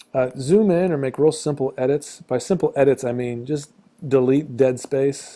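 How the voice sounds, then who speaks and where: The man's tone is dark and mellow, though his pitch is fairly high. He keeps a moderate pace. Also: ordinary pitch variation. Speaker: teacher. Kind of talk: tutorial. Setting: screencast recording at a computer. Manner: casual, with fillers and stutters.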